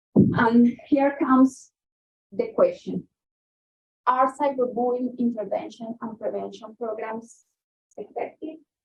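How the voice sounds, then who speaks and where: Using a Spanish accent, a woman talks at a high pitch and a fairly slow pace, with long, frequent pauses and big swings in loudness. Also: fairly even intonation. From Colombia. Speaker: guest speaker, researcher. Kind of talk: lecture. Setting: talk with in-person and remote audience. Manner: halting, with fillers and self-corrections.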